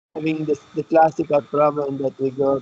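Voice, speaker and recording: In a dark, mellow tone with an Italian accent, the speaker goes at a moderate pace in a dry, close sound with no echo. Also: man. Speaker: university professor. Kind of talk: online lecture, student introductions.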